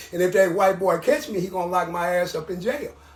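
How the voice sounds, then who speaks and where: A man's fairly quick American-accented speech comes through noticeable background noise. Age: 70s. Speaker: ex-convict elder. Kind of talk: street interview.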